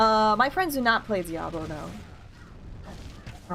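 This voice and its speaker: A soft-spoken woman's fairly high voice with very wide pitch swings, music in the background. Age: 30s. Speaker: video game streamer. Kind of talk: casual live-stream chat while gaming. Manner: soft-spoken, talks quietly.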